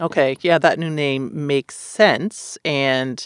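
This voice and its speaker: A woman's very deep, low voice with ordinary pitch variation, dry and close with no echo, on a very clean recording with a silent background. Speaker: family physician podcast host. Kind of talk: medical podcast discussion.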